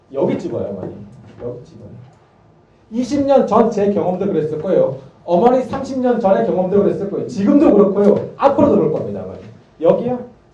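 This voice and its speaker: In a room with audible echo and noticeable background noise, a man speaks fairly quickly in a high voice, with very wide pitch swings, big shifts in loudness and long, frequent pauses. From Gangwon, Korea (Gangneung). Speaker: math academy teacher. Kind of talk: parent information session talk. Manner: animated.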